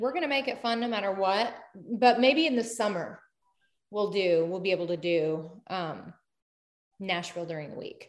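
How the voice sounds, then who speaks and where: Medium in pitch, a woman speaks at a moderate pace with lively intonation. It is an ordinary speaking voice. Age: 30s. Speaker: social media creator. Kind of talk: casual chat.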